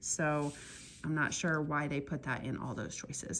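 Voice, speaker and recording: A woman speaking at a moderate pace. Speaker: math teacher. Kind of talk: tutorial.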